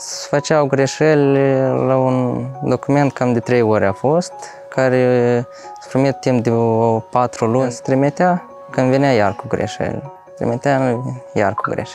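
A man talks at a fairly slow pace, with big swings in loudness. The sound is dry with no echo, and faint music plays in the background. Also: ordinary pitch variation. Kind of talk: interview answer. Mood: relaxed, slightly amused. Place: street. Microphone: lapel.

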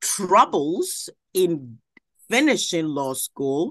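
A woman's fairly low voice at a very slow pace, with a Puerto Rican accent and a quiet background. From Puerto Rico. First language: Spanish. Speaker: judge. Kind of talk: interview. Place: office. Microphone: video call.

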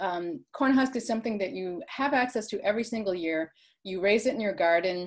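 The speech has lively intonation over a quiet background. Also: woman. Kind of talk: lecture. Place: home room. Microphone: video call.

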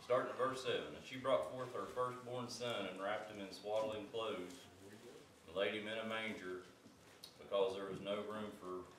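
Recorded with audible room echo and light background noise, a man speaks at a fairly low pitch. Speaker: Sunday school teacher. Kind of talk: sermon. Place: church.

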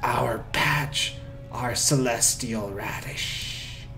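A man's strained, put-on character voice at a medium pitch and very slow pace, over loud background noise. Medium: game stream. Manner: halting, cryptic fragments.

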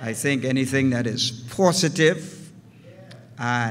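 Very slowly, a man says his words. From Bahamas. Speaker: pastor. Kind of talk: formal greeting remarks; address to the congregation. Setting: church. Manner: formal, ornate. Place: church. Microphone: podium.

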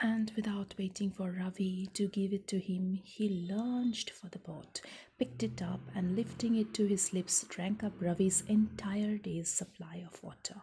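A soft-spoken woman at a moderate pace with ordinary pitch variation, over light background noise. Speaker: storyteller. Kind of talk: story read-aloud. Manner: soft, hushed ASMR reading voice. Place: home room. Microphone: phone near.

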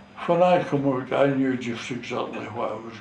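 A man's voice with ordinary pitch variation, audible room echo and light background noise. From North East Scotland. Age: 80s+. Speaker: war veteran, fishing skipper. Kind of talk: interview answer. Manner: slow, hesitant. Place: home room. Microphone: camera far.

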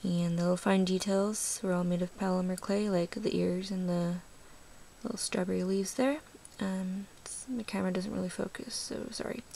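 The voice is quiet. It moves at a moderate pace. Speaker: polymer clay charm maker. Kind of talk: casual craft show-and-tell to camera.

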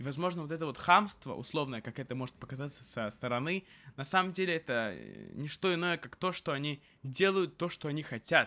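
A man's bright, sharp voice, fairly high in pitch, moves at a fairly quick pace. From Russia. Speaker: vlogger. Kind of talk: casual monologue. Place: home room. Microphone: studio mic.

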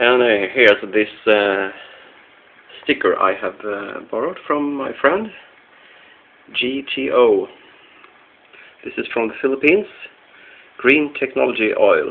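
A man's fairly slow speech broken by long, frequent pauses. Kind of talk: tutorial. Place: home room. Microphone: phone near.

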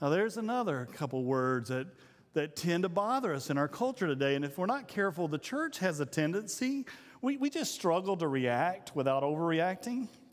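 A man's voice with big pitch swings at a moderate pace. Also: fairly high pitch for a man.

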